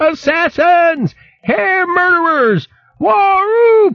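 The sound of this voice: In a put-on character voice, a man speaks at a very slow pace with an extremely high pitch and lively intonation.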